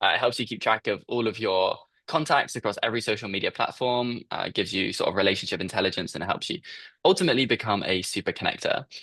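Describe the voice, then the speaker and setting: A man with a British accent talks at a very fast pace in a medium pitch, his intonation lively. His tone is bright and sharp, over a quiet background. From UK. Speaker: startup founder. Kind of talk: interview.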